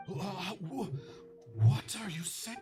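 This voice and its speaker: Clear music plays behind a man doing a put-on character voice. His high pitch moves in very wide swings. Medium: game stream. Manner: desperate, emotional.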